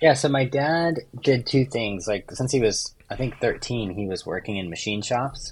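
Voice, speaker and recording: Somewhat breathy, a man with a medium pitch and an American accent talks at a moderate pace with lively intonation. The recording is very clean, with a silent background. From US West Coast. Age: 30s. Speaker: overlander and vehicle builder. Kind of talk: casual chat.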